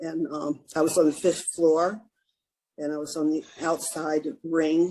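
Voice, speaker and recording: A woman's very deep, low voice in an American accent, dark and mellow in tone, monotone and flat in intonation, at a fairly slow pace. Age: 70s. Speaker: retired government official. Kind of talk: interview answer.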